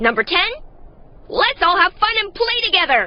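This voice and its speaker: In a put-on character voice, the speaker goes extremely high in pitch. Very wide pitch swings come at a moderate pace. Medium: fan dub. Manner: playful, theatrical.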